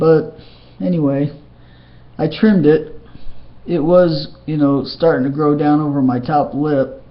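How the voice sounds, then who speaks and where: Audible room echo surrounds a man's fairly high voice. He speaks at a fairly slow pace. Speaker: video blogger. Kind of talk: casual personal vlog update. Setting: webcam recording at home. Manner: halting, many fillers and restarts.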